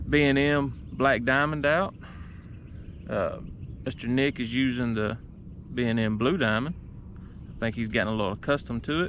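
A man's moderately paced speech with long, frequent pauses, ordinary pitch variation, light background noise and a dry sound with no echo. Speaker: fishing vlogger. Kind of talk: casual vlog chat. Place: boat. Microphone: phone near.

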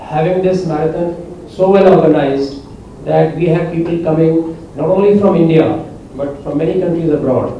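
With light background noise and audible room echo, a man speaks in a high, flat monotone at a moderate pace. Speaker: guest. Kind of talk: press conference statement. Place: hall.

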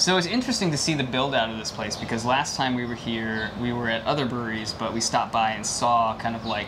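His speech rushes along very quickly. There is noticeable noise in the background of this man's recording. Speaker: beer reviewer vlogger. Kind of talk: casual vlog chat. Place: bar. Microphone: lapel.

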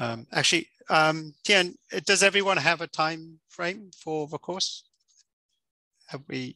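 A man speaks very slowly in a fairly high pitch with a bright, sharp tone, ordinary pitch variation and big swings in loudness. The sound is dry with no echo over a quiet background. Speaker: course instructor. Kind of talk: lecture. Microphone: headset.

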